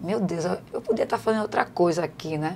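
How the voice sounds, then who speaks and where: A woman's medium-pitched voice, fairly even in intonation, at a moderate pace, over a very clean, silent background. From Recife, Pernambuco, Brazil. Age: 40s. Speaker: city councillor and housing activist. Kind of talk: podcast interview. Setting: studio. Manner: halting, many repetitions.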